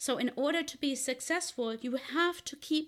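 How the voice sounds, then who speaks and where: A woman speaking at a fairly slow pace. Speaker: podcast host, physician and leadership coach. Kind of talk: solo podcast monologue.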